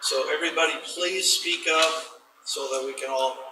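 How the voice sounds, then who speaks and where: A man at a fairly slow pace, audible room echo, noticeable background noise. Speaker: school board member. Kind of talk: board meeting discussion. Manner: loud.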